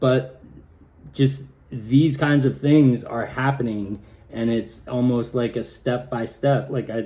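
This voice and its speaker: A man's medium-pitched voice with a dark, mellow tone, ordinary pitch variation and a very slow pace. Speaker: video diarist. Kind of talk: personal video diary. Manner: halting, repeats words; sounds nervous.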